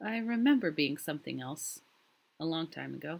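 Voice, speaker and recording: Putting on a character voice, a woman speaks at a moderate pace in a very deep, raspy voice with a gentle tone. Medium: read story. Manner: soft, gentle, somewhat gloomy.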